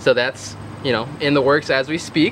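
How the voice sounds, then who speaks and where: A man's fairly high voice with ordinary pitch variation, a fairly quick pace, and noticeable background noise. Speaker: husband doing voiceover. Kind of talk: casual talk to camera.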